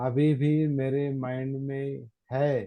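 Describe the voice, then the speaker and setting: This man's voice sits at a fairly high pitch. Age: 60s. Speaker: meditation teacher. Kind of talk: Dhamma talk. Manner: halting, repetitive.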